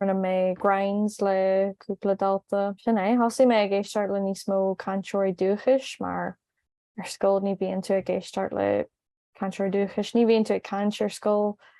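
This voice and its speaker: A woman talks at a medium pitch in an Irish accent. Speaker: language learner and video host. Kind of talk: casual chat.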